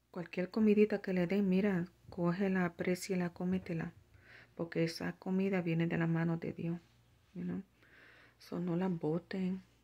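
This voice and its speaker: Speaking in a flat monotone with a dark, mellow tone, a woman keeps her pitch fairly low and pauses long and often. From Puerto Rico. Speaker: religious vlogger. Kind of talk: religious vlog monologue; casual vlog chat with spiritual exhortation. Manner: halting, many fillers. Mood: earnest, concerned. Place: home room. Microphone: phone near.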